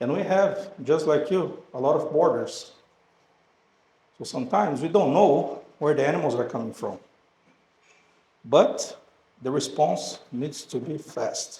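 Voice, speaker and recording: A man with a Brazilian Portuguese accent, fairly slow, with long, frequent pauses. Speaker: animal health company representative. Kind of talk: presentation to audience.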